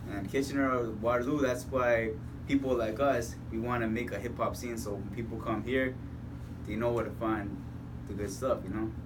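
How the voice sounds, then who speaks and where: There is audible room echo around this man's voice. He speaks at a medium pitch and a moderate pace. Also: fairly even intonation. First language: Spanish. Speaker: radio host. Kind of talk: casual chat. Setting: recording studio.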